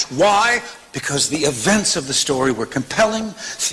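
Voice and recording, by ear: Read aloud in a natural voice, the passage has lively intonation.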